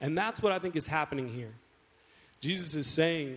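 A somewhat breathy man with an American accent, fairly high pitch, lively intonation and a moderate pace. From Florida, US (Wauchula). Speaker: pastor. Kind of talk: sermon. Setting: church stage with congregation. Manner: casual, conversational.

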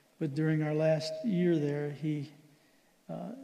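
The tone is dark and mellow, with audible room echo around it. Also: man. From Philippines. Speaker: missionary doctor. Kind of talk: church missions report. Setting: church service.

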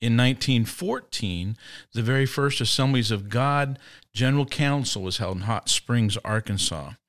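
A man with a Midwestern American accent speaks at a moderate pace and medium pitch, his pitch varying in an ordinary way, in a dry, close recording with no echo that is very clean against a silent background. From Indiana, US Midwest. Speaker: pastor. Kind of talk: casual chat.

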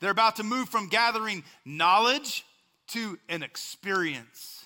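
At a fairly slow pace, a man projects a raised voice with a bright, sharp tone and lively intonation in a very clean recording over a silent background. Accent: West Texas. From West Texas. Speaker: pastor. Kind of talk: sermon. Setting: church.

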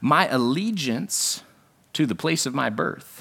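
On a very clean recording with a silent background, a man with a medium pitch and a bright, sharp tone moves through very wide pitch swings. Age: 30s. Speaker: pastor. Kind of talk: sermon. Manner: conversational.

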